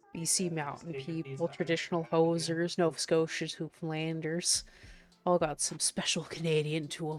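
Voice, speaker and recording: Faint music plays behind a woman whose fairly low voice is monotone and flat, the sound dry with no echo. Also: moderate pace. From Canada, Prince Edward Island. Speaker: live-streaming digital artist; streamer. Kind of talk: casual live-stream chat. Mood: playful, laughing. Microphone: headset.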